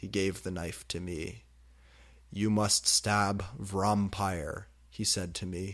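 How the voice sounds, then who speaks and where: A man with a fairly low pitch speaks at a very slow pace in a very clean recording with a silent background. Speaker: fan fiction reader. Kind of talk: dramatic comedic reading of fan fiction.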